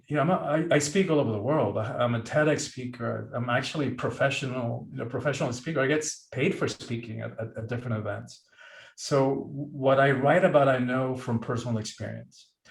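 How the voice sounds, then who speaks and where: A man with a Spanish accent speaks at a fairly quick pace and medium pitch. His voice shows vocal fry and ordinary pitch variation. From Cuba. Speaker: author and professional speaker. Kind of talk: podcast interview.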